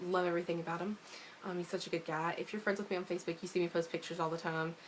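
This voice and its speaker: Her fairly low-pitched voice runs in a monotone, flat intonation as the woman speaks. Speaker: vlogger. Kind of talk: personal vlog update. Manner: fast.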